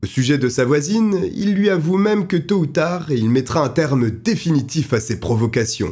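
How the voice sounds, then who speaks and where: A somewhat breathy man with a dark, mellow tone and fairly high pitch speaks at a moderate pace, making very wide pitch swings while keeping very even loudness and hardly any pauses. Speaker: true crime narrator. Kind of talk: true-crime storytelling narration, read as a scripted account. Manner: measured and suspenseful, steady storyteller pacing building tension; grave and dramatic when describing the killer's cruelty.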